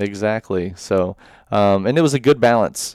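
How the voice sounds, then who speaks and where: A man's fairly low voice, dry and close with no echo, on a very clean recording with a silent background. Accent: Tennessee. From Middle Tennessee, Murfreesboro. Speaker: real estate agent. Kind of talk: casual interview.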